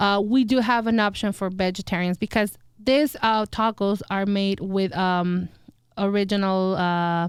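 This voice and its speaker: In a Spanish accent, a woman talks at a fairly slow pace and medium pitch, her loudness very even, on a very clean recording with a silent background. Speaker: restaurant owner. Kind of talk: interview. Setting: studio. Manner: halting.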